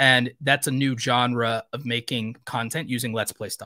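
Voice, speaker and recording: The man's voice is medium in pitch and bright and sharp in tone, with a dry sound and no echo. He talks at a moderate pace over a quiet background. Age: 30s. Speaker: YouTube creator coach. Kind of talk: live stream Q&A. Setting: live stream studio. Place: home room.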